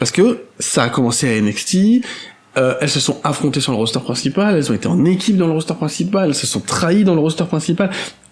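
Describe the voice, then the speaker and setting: With very wide pitch swings, a man talks at a very fast pace and a fairly high pitch. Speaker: wrestling podcast co-host. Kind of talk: casual chat.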